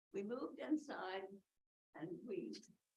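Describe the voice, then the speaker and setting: Speaking at a very slow pace with an American accent, a woman shows very wide pitch swings and vocal fry. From New Jersey. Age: 80s+. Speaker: resident speaking at public comment. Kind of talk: public comment at council meeting.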